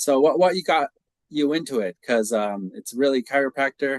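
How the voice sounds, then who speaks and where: With an American accent, a man uses a normal speaking voice at a moderate pace and ordinary pitch variation, the sound dry and close with no echo. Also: quiet background. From United States. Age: 40s. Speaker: podcast host. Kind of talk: interview.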